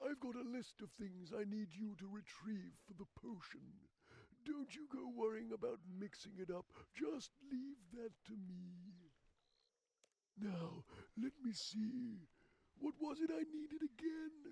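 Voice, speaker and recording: In a put-on character voice, a man talks high in pitch with lively intonation, at a fairly slow pace broken by long, frequent pauses. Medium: machinima. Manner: rambling, folksy.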